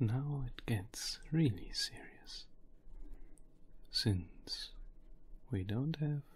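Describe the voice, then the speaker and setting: Someone whispers. The pace is very slow. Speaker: crypto market analyst. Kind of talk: ASMR crypto statistics explainer. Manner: whispered.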